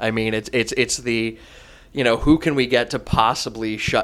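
At a moderate pace, a man with an American accent uses a plain, everyday voice at medium pitch, with ordinary pitch variation. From Wisconsin. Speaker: brewmaster, non-comedian guest. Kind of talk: casual chat.

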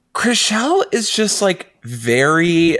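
A man speaks at a very slow pace. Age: 30s. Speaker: podcast co-host. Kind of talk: casual chat.

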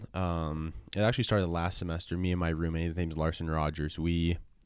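Monotone, flat intonation in a western US accent, on a very clean recording with a silent background. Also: man. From Utah. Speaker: college soccer player. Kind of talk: casual chat. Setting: studio.

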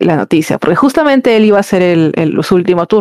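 A woman with an ordinary speaking voice talks at a fairly quick pace in a fairly low pitch. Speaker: podcast guest. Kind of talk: casual chat.

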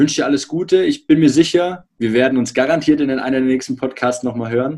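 A man speaks with a plain, everyday voice at a medium pitch. His pitch varies in an ordinary way, and his pace is fairly quick. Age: 30s. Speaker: podcast host. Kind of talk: interview.

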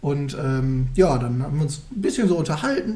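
A man's voice with audible room echo. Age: 20s. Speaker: podcast co-host. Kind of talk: casual chat.

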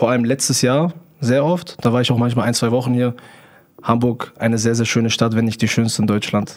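A man's medium-pitched voice, a normal speaking voice with fairly even intonation and very even loudness. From Germany, near Hanover. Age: 20s. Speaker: TikTok livestreamer. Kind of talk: casual interview chat.

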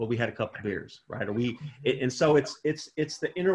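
Somewhat breathy, fairly high speech from a man, with ordinary pitch variation. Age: 40s. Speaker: pastor and prison re-entry program director. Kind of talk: interview.

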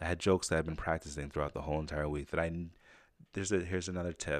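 A man speaks very fast in a very deep, low voice with fairly even intonation, on a very clean recording with a silent background. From Jamaica, raised in Saratoga Springs, upstate New York. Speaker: podcast host, comedian and martial artist. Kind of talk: solo podcast monologue. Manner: casual, conversational with fillers.

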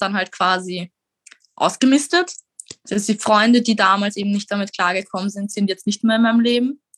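Talking at a fairly quick pace with ordinary pitch variation, a woman has an ordinary speaking voice, heard in dry, close sound with no echo. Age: 20s. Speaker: mental health speaker with lived experience. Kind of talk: interview.

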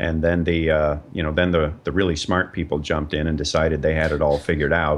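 Speaking very fast, this man has a very deep, low pitch and a monotone, flat intonation. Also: hardly any pauses. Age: 50s. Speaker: comedian and documentary filmmaker. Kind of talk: interview.

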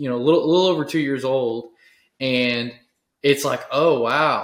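A man speaks with a Texan accent at a moderate pace. His pitch is fairly high, and his intonation stays fairly even. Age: 30s. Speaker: podcast host. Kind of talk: casual interview chat.

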